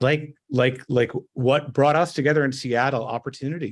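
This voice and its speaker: A man with a Montreal accent at a fairly quick pace, against a quiet background. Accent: Montreal Canadian English. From Canada, Montreal. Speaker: tech company CEO. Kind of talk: interview conversation. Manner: halting, many fillers.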